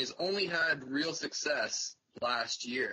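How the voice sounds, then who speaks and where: This man has a fairly high pitch and speaks with a Canadian accent. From Canada. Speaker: fantasy football writer and editor; podcast panelist. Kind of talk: casual chat. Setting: phone call. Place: home room. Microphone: video call.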